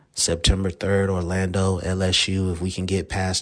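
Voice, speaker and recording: A man speaks with a very deep, low pitch in a monotone, flat intonation. The recording is very clean, with a silent background. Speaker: sports podcast host. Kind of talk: solo podcast monologue. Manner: casual, filler-heavy.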